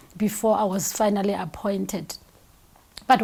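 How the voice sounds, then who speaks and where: Moderate pace and a somewhat breathy sound from a woman. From South Africa, Soweto. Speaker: company CEO. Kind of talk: interview.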